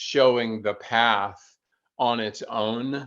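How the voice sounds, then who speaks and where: A man with an American accent. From US South, North Carolina. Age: 60s. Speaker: endurance athlete. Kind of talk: podcast interview.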